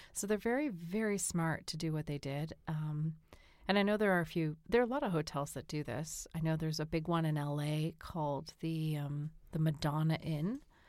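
A woman's very deep, low voice with an American accent, a moderate pace and ordinary pitch variation, on a very clean recording with a silent background. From Boston, US. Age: 40s. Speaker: podcast co-host. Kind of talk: calm conversation for sleep.

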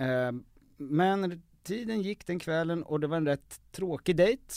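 A man is speaking. His pitch swings very widely. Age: 20s. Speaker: podcast host. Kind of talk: casual chat.

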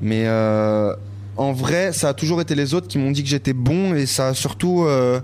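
Over noticeable background noise, a man speaks at a medium pitch with lively intonation and very even loudness. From Paris, 13th arrondissement. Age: 20s. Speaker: rapper. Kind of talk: casual interview. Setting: bar smoking room.

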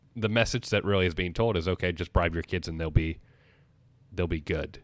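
A man's very deep, low voice is captured on a very clean recording against a silent background. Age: 20s. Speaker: podcast host. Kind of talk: casual chat.

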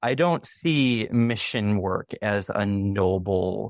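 A man with an American accent speaks at a fairly low pitch. The sound is dry and close with no echo, against a quiet background. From US Midwest, Chicago area. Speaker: former university student. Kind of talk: interview.

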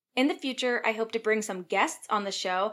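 Her tone bright and sharp, a woman is heard on a very clean recording with a silent background. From Virginia. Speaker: physician assistant and podcast host. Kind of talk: scripted monologue.

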